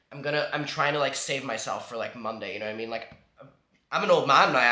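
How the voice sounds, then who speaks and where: Ordinary pitch variation with audible room echo. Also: man. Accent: Northern Irish. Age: 20s. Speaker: vlogger. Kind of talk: casual chat.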